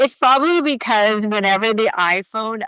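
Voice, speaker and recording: Loud and animated in tone, a woman speaks with an American accent and ordinary pitch variation. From United States. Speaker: podcast co-host. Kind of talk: casual chat. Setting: live video stream.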